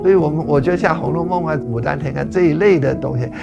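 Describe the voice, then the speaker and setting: A man is speaking. Music plays in the background. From Guilin, Guangxi, China. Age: 80s+. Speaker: writer. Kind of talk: interview answer.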